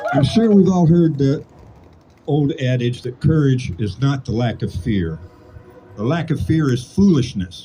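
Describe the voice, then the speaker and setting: Fairly slow, somewhat breathy speech in an American accent, dark and mellow in tone, with very wide pitch swings. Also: man. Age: 60s. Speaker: political activist. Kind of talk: impassioned speech.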